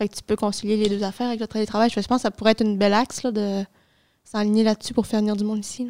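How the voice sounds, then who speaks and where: The delivery is flat and monotone at a very fast pace. The tone is dark and mellow. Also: woman, fairly high pitch for a woman. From Dolbeau-Mistassini, Lac-Saint-Jean, Quebec. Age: 20s. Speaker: youth committee member, student. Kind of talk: casual chat.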